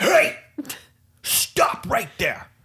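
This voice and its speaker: The speaker puts on a raspy character voice. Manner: firm, commanding.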